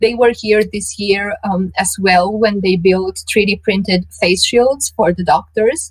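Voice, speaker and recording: A woman with a somewhat breathy voice speaks at a medium pitch with ordinary pitch variation. She talks at a fairly slow pace with hardly any pauses. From Romania, Transylvania. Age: 30s. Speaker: tech journalist. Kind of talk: interview. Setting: live event talk.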